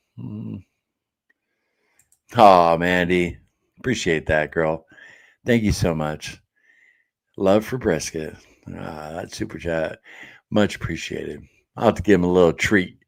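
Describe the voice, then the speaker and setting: In a very clean recording with a silent background, a man speaks with a very deep, low pitch and lively intonation. His pace is fairly slow, with long, frequent pauses. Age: 50s. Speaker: live stream host. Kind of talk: casual live stream chat, reading comments. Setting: live stream. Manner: casual, conversational.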